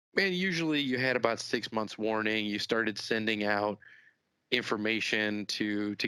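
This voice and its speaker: A man with a Chicago accent, fairly low-pitched, in a bright, sharp tone with fairly even intonation, recorded very cleanly with a silent background. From US Midwest, Chicago. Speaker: business executive. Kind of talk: podcast interview.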